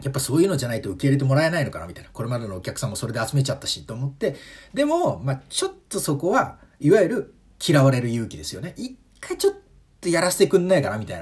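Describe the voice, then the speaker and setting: Talking at a very fast pace, a man's fairly high voice makes very wide pitch swings. His loudness swings a lot, and there is vocal fry. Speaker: comedian and podcaster. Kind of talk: solo monologue podcast.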